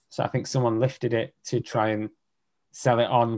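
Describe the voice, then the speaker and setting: With a Lancashire accent, a man speaks at a fairly quick pace in a monotone, flat intonation. The recording is very clean, with a silent background. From northern England, Lancashire (near Preston). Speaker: social media personality and podcaster. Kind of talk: casual interview chat. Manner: hesitant, many fillers and restarts.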